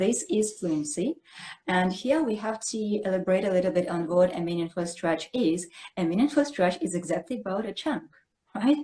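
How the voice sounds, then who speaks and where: A woman speaks at a medium pitch and moderate pace with a somewhat breathy voice. Her intonation is lively. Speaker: English teacher. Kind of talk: casual chat. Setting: live stream.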